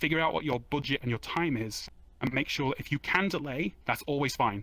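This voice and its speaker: The voice has a bright, sharp tone and ordinary pitch variation. Delivery comes at a very fast pace. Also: man. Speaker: game developer giving conference talk. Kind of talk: conference talk. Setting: virtual stage with audience.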